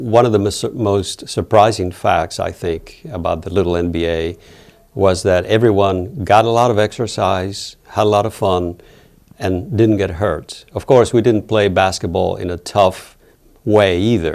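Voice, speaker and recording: This man has a fairly low pitch and fairly even intonation. He speaks at a fairly slow pace. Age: 60s. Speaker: campus basketball player. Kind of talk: interview. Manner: halting.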